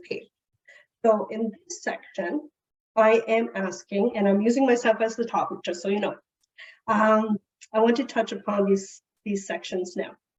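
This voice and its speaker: Somewhat breathy and fairly high-pitched, a woman speaks at a fairly slow pace with ordinary pitch variation, long, frequent pauses and big swings in loudness. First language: Portuguese. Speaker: family services director presenting to caregivers. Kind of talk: presentation.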